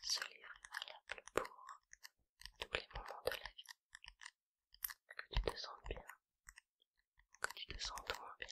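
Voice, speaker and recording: A woman whispers very slowly, her loudness swinging widely and long pauses coming often. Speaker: ASMR creator. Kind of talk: casual intro to listener. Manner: whispered.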